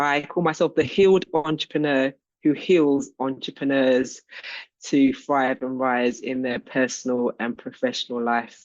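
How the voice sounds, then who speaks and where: A woman's very deep, low voice with a London accent, fairly even intonation and a fairly slow pace. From London, England. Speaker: business coach and healing practitioner. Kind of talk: self-introduction in group call.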